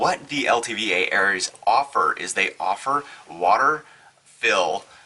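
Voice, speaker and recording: A man speaks while noticeable background noise is heard. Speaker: full-time RVer. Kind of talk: casual talk to camera.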